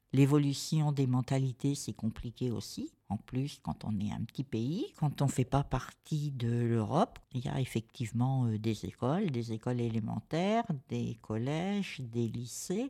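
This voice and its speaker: A woman's very deep, low voice, fairly slow and with hardly any pauses. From France. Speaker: cultural association representative, exhibition organiser. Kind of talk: radio interview. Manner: hesitant, many fillers and repetitions.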